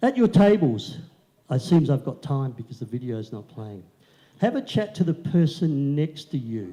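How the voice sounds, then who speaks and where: This man has a fairly high pitch, a somewhat breathy voice and a dark, mellow tone. He talks at a moderate pace with very wide pitch swings and big swings in loudness. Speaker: motivational speaker. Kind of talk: keynote speech. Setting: stage with audience.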